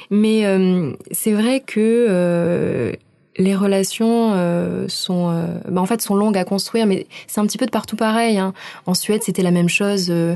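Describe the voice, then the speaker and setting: Very slowly and at very even loudness, a woman talks in a dark, mellow tone at medium pitch with fairly even intonation. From southern France, Aix-en-Provence. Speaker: cultural centre staff, international volunteer. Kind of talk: radio interview.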